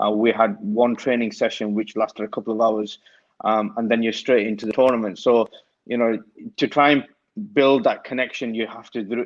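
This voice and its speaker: A man talks at a fairly quick pace with a strong Lancashire accent. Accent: broad Lancashire. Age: young. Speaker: cricket coach. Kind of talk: casual interview chat.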